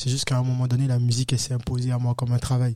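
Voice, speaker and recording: A dark, mellow tone carries this somewhat breathy voice. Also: man. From Benin, West Africa. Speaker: afro-pop singer. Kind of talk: interview.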